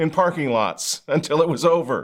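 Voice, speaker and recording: A man with lively intonation. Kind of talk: commentary show with satire. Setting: studio. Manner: animated, sarcastic.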